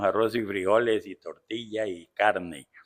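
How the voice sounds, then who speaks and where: A man talks very slowly with a fairly low pitch. The recording is very clean, with a silent background. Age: 70s. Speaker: pastor and missionary. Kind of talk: interview. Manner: halting.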